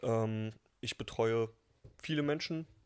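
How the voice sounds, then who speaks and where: A man with a medium pitch delivers his words at a very slow pace. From Berlin, Germany. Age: 20s. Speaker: personal trainer. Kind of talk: casual chat.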